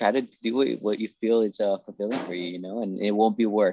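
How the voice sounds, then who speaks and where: In a dry, close recording with no echo, a man with an unremarkable speaking voice talks fairly quickly at a fairly low pitch. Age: 30s. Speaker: store owner and new law graduate. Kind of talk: casual podcast interview.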